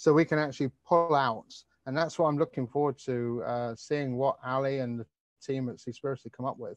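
A man with a British accent, medium pitch, fairly even intonation and a fairly quick pace, in a dry sound with no echo over a quiet background. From UK, raised in the Mediterranean. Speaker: ocean conservation advocate; presenter. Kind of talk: webinar presentation. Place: garden. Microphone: earbuds.

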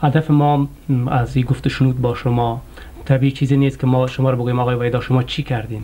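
A man speaks at a medium pitch with a dark, mellow tone. His pitch moves very little.

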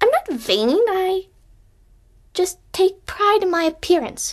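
Using a put-on character voice, a woman speaks at a fairly slow pace in a raised, projected voice with an extremely high pitch. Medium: voice reel. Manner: haughty, indignant.

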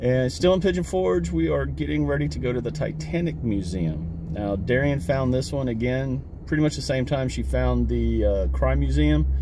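Pitched very deep and low, a man's voice swings very widely in pitch at a moderate pace with hardly any pauses, the sound dry with no echo and the background noticeably noisy. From Kentucky. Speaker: gardening vlogger, army veteran; family vlogger. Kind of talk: travel vlog, casual chat. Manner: animated.

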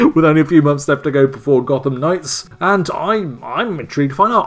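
A man speaks at a fairly quick pace with faint music playing in the background. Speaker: game commentator. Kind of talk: commentary. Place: home room. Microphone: webcam.

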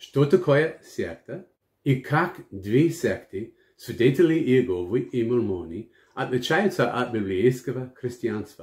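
Very slow, somewhat breathy speech from a man at medium pitch, with very wide pitch swings. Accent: English. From United States. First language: English (speaking Russian). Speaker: pastor and missionary. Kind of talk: Bible teaching.

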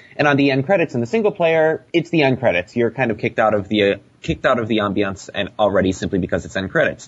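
The delivery is very fast with hardly any pauses. Pitch swings very widely. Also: man, medium pitch for a man. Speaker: podcast panelist. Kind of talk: casual chat.

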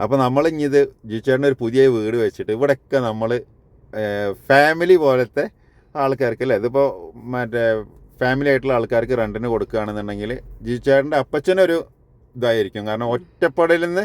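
The recording sounds dry and close, without any echo. It carries an unremarkable speaking voice whose pitch varies in an ordinary way. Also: man, medium pitch for a man. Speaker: home construction vlogger. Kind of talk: casual chat.

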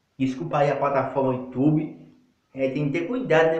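There's audible room echo as a man talks at a moderate pace. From Northeast Brazil, Paraíba; Northeast Brazil. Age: 20s. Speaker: lay evangelist YouTuber; self-styled preacher vlogger. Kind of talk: religious monologue; informal sermon-style vlog talk. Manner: halting. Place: bathroom. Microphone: phone near.

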